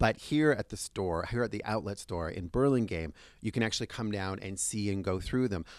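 In a very clean recording with a silent background, the voice moves at a fairly quick pace with ordinary pitch variation. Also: man, fairly low pitch for a man. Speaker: food and travel show host. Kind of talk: casual interview; scripted intro and outro. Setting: on location in a store. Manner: fast.

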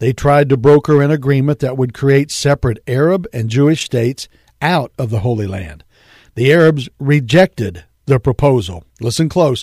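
A plain, everyday voice with lively intonation at a moderate pace, dry and close with no echo, on a very clean recording with a silent background. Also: man. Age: 50s. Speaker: radio pastor and Bible teacher. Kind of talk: radio sermon. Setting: radio studio.

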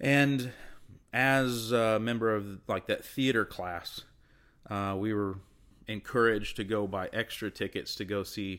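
With an unremarkable speaking voice, a man talks in a fairly low pitch and fairly even intonation, recorded very cleanly with a silent background. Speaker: actor. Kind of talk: casual interview chat.

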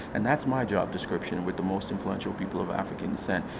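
A man speaks with an American accent and fairly even intonation. The room echoes audibly, and background noise is noticeable. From US, Nigerian American. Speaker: founder and CEO of an awards organization. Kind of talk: interview. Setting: studio.

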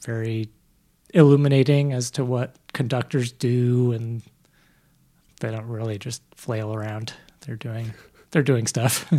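A man speaks at a medium pitch with a dark, mellow tone and fairly even intonation, leaving long, frequent pauses while his loudness swings widely. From Vermont (Burlington). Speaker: music producer and music therapist. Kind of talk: casual interview. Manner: hesitant, many fillers.

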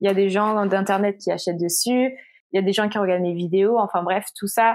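A woman with an ordinary speaking voice at a medium pitch, fairly quick in pace, with fairly even intonation, in a very clean recording with a silent background. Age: 20s. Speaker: illustrator and content creator. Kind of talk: casual interview.

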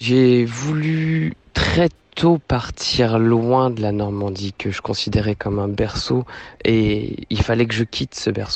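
A man talks in an ordinary speaking voice. His pitch is medium with ordinary variation. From Normandy, France (Rouen). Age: 30s. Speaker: returning expatriate. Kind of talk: interview.

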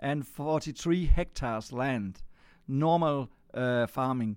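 In a Danish accent, a fairly high-pitched man speaks with lively intonation on a very clean recording with a silent background. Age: 60s. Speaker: farmer. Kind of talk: interview. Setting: on a farm. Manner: halting.

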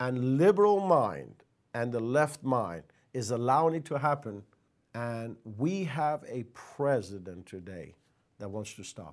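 A man with a Persian accent speaks at a fairly slow pace in a medium pitch, his intonation lively, on a very clean recording with a silent background. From Iran. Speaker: pastor. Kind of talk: monologue commentary.

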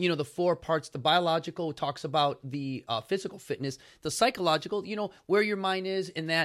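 Speaking in an American accent, a man with a high pitch talks fairly quickly, his tone animated and his intonation lively. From Chicago. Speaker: podcast host and fitness founder. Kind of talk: casual interview chat. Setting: live on Instagram.

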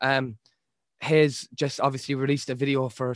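Speaking in a strong Irish accent, a man holds a medium pitch with monotone, flat intonation at a moderate pace. The sound is dry and close, with no echo. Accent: thick Irish. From Ireland. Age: 20s. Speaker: rapper. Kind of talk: casual chat.

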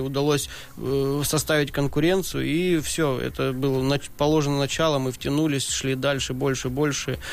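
The speaker has a plain, everyday voice. The pace is moderate, and the intonation is fairly even. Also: man. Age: 30s. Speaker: professional drift racer. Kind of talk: podcast interview. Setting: studio.

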